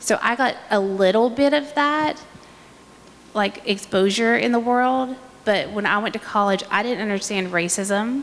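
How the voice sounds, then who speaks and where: A woman's fairly high-pitched voice with an Appalachian accent, ordinary pitch variation and a fairly slow pace. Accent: Appalachian American. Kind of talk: panel discussion.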